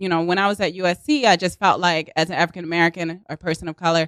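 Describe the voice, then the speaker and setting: Speaking very fast with a Baltimore accent, a woman uses a medium pitch in a dry, close sound with no echo on a very clean recording with a silent background. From US, Baltimore, Maryland. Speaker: actress and improv comedian. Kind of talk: casual chat. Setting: studio.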